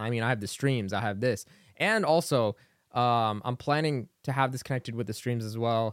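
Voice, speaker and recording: Very clean recording, silent background. A plain, everyday voice moves at a fairly quick pace with ordinary pitch variation. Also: man. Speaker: podcaster and streamer. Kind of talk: casual solo podcast, unscripted. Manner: casual, rambling, filler words; informal, upbeat.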